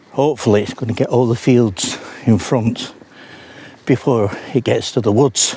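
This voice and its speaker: At a moderate pace and with long, frequent pauses, a man talks at medium pitch with fairly even intonation over noticeable background noise. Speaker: paranormal investigator vlogger. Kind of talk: casual vlog monologue. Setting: outdoors, walking on moors at dawn. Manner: soft-spoken.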